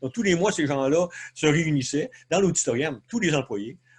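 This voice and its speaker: A man speaks with a somewhat breathy voice. His intonation is lively. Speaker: leadership consultant. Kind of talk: webinar presentation. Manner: fast; hesitant, many fillers.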